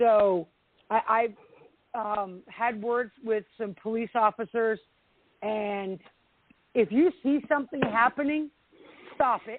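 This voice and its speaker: With ordinary pitch variation, a woman speaks at a very slow pace and leaves long, frequent pauses. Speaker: radio show host. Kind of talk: call-in talk show. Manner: halting.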